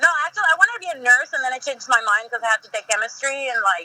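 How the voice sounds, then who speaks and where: A woman races through her words at a very fast pace with lively intonation as noticeable background noise carries on. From Mexico. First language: Spanish. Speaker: professional wrestler. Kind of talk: interview.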